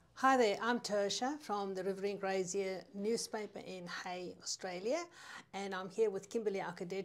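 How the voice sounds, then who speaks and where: At a moderate pace, a woman with a South African accent talks at a medium pitch with ordinary pitch variation. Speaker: newspaper editor. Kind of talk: casual chat.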